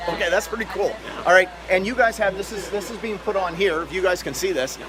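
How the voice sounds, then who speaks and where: Loud and fairly quick, a high-pitched man speaks with ordinary pitch variation amid noticeable background noise and audible room echo. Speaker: event vlogger / hunting and angling federation representative. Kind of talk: casual on-site interviews and vlogging. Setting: trade show floor. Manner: animated.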